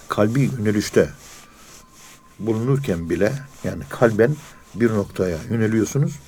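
Lively intonation at a fairly slow pace, with long, frequent pauses and noticeable background noise. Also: man, fairly low pitch for a man. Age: 60s. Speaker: professor of Sufism. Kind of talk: religious lecture.

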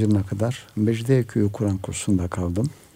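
With a dark, mellow tone and a somewhat breathy quality, a man speaks at a fairly low pitch with ordinary pitch variation. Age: 70s. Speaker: retired imam and author. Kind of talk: radio interview. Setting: radio studio.

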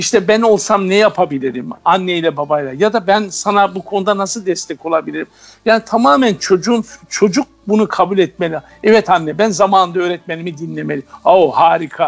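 A man speaks at a fairly quick pace in a high pitch, with ordinary pitch variation. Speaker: teacher. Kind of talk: radio interview. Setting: phone call.

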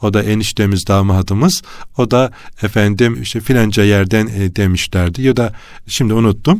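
In a very clean recording with a silent background, a man speaks at a moderate pace, fairly low in pitch and with ordinary pitch variation. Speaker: religious radio host. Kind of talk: religious radio talk. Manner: hesitant fillers.

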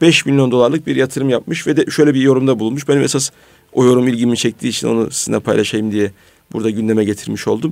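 Very fast male speech at a medium pitch, pitch variation ordinary. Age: 40s. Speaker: radio host. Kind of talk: radio talk show.

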